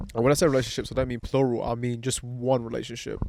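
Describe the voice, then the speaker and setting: In a British accent, a man speaks at a medium pitch with monotone, flat intonation. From England, Pakistani heritage. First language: Pahari. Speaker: podcast host. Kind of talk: casual chat. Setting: outdoors at a barbecue.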